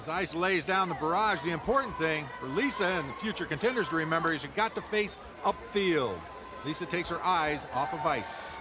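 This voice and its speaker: Over noticeable background noise, a man with a high pitch speaks at a fairly quick pace with lively intonation. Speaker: game show color commentator. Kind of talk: sports-style color commentary.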